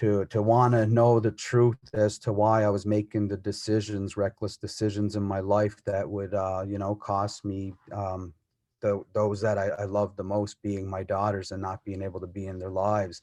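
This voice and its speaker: In a quiet background, a man with a fairly low pitch and a dark, mellow tone speaks at a moderate pace, with hardly any pauses and monotone, flat intonation. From Cape Breton, Nova Scotia (Mi'kmaq community). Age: 30s. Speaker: plumber and community mentor. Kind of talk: personal testimony. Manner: halting, many fillers.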